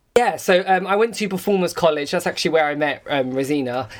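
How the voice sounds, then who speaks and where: Here a man speaks with an English accent at a high pitch. His pace is fairly quick. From England. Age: 30s. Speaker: podcast host, former dancer. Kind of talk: casual chat. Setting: Instagram live video call.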